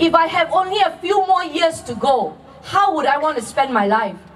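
Crowd noise fills the background as a woman speaks. Her pitch is extremely high, and her pace is moderate. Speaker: candidate. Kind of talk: campaign rally speech. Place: stage.

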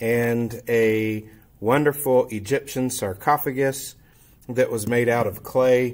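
Man at a very slow pace with fairly even intonation. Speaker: teacher. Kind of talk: informal presentation and show-and-tell. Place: classroom. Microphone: webcam.

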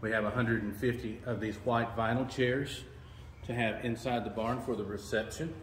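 Speaking at a moderate pace with fairly even intonation, a man is heard with audible room echo and light background noise. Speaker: venue host giving a tour. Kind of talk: tour guide explanation. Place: hall. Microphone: phone near.

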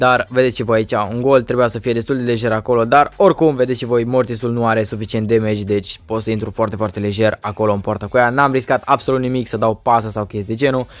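The delivery runs at a very fast pace with hardly any pauses. Intonation stays fairly even. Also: man, medium pitch for a man. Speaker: gaming youtuber. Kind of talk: gameplay commentary. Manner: halting.

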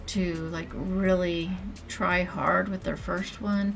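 A woman's very slow voice with music in the background. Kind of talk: casual vlog chat. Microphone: webcam.

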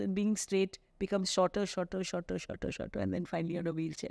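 Over a quiet background, a woman with a dark, mellow tone speaks at a very fast pace. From India. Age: 60s. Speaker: gynecologist. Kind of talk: interview. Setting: studio. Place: studio. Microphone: studio mic.

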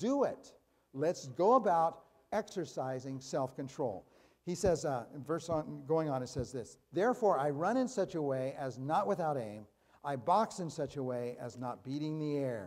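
Very wide pitch swings mark a man's moderate-paced speech over a quiet background. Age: 60s. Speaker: pastor. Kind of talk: sermon. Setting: church. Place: church. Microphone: podium.

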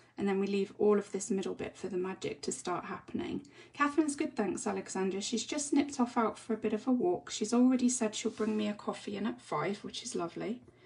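A woman with an English accent, very fast pace, hardly any pauses and lively intonation. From England. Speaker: colouring tutorial creator. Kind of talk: tutorial. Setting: live stream. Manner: chatty. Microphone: phone near.

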